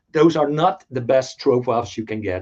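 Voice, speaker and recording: Speaking at a fairly quick pace, a man with a Dutch accent shows ordinary pitch variation. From Netherlands. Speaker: toy collector. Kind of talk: casual chat.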